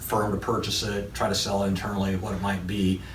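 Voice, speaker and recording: Over noticeable background noise and audible room echo, a man talks at a moderate pace. His fairly low voice stays monotone and flat. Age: 60s. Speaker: construction company CEO. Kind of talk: interview.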